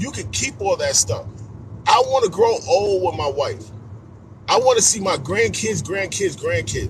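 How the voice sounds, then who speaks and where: An animated man at a fairly slow pace. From New York City (Queens, Astoria projects). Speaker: motivational speaker. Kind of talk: motivational talk on a live stream. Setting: social media live stream.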